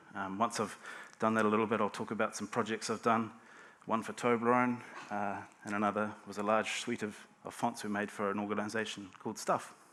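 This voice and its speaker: A man with a New Zealand accent talks at a fairly quick pace in a fairly low pitch. His tone is bright and sharp, and his intonation stays monotone and flat. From New Zealand, Hawke's Bay. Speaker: type designer. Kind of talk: conference talk. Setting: stage with audience. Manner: halting, with frequent fillers and repeats.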